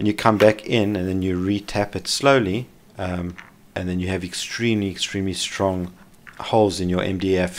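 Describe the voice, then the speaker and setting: Very deep, low male voice, delivered in a flat monotone. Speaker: maker / CNC hobbyist. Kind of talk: software and workshop tutorial narration. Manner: casual, hesitant with fillers.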